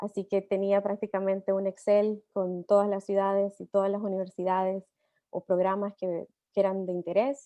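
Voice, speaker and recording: A woman's medium-pitched voice in a Latin American accent, dark and mellow in tone, with monotone, flat intonation at a moderate pace and a dry, close sound with no echo. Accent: non-Argentine Latin American Spanish. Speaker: tech company employee, immigrant speaker. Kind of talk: panel talk.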